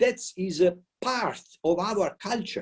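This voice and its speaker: The voice carries an Italian accent. Its tone is dark and mellow. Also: man. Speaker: politician. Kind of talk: welcome speech. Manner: halting.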